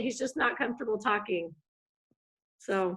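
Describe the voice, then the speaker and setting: With an American accent, the delivery moves along at a moderate pace. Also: woman. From United States. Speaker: family member. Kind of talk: casual chat. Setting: video call.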